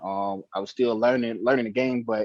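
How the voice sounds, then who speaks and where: Someone with an American accent speaks at a moderate pace in an unremarkable speaking voice with ordinary pitch variation. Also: man. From Miami, Florida. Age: 30s. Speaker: former football player. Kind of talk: casual interview. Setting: phone call.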